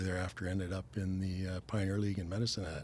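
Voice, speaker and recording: A man's very deep, low, somewhat breathy voice with a Canadian accent at a fairly quick pace, on a very clean recording with a silent background. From Canada, Stratford, Ontario. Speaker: retired firefighter and former baseball player. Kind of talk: casual interview.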